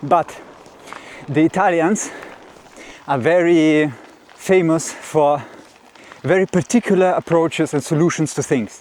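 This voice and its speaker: Amid noticeable background noise, a man with a fairly high pitch speaks at a fairly slow pace, leaving long, frequent pauses. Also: ordinary pitch variation. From Russia. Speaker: mountain bike vlogger. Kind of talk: casual vlog talk. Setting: outdoors, pedaling uphill on a trail.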